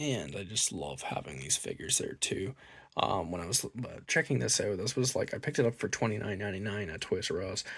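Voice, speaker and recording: With vocal fry and very wide pitch swings, a man speaks at a fairly low pitch and a fairly quick pace. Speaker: toy unboxing youtuber. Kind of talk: casual unboxing review. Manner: casual with many fillers.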